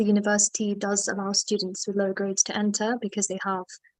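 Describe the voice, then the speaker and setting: A woman speaks with a British accent at medium pitch. Her pace is moderate and her intonation monotone and flat. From UK. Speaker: medical student. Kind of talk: webinar interview.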